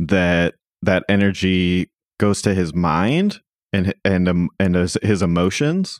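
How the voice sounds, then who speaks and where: A man speaks at a very slow pace in a very deep, low pitch with fairly even intonation. The sound is dry and close, with no echo. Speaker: podcast co-host, film discussion. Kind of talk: casual chat.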